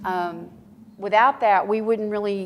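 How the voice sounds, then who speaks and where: A woman speaks in a Texan accent. Her pace is fairly quick. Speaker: school district records manager. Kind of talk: conference presentation. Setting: conference room with audience. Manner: casual, with many fillers.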